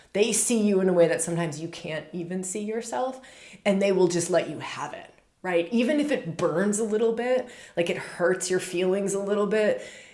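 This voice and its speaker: Her tone animated, a woman at a medium pitch talks at a fairly quick pace with ordinary pitch variation and audible room echo. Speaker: astrologer. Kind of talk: spiritual astrology talk. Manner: fast.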